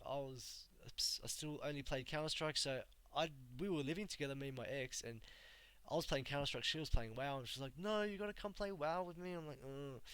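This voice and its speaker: Ordinary pitch variation marks this man's speech in an Australian accent. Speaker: gamer streamer. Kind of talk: casual live stream talk. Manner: casual, halting with fillers.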